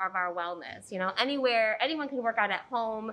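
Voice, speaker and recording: A woman speaks in a bright, sharp tone with ordinary pitch variation over light background noise. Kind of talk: interview answer. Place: gym.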